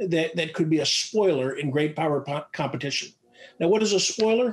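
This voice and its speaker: A man talks at a fairly quick clip in a high voice with ordinary pitch variation, recorded against a quiet background. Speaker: retired army officer and defense analyst; panelist. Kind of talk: panel presentation. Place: home room. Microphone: webcam.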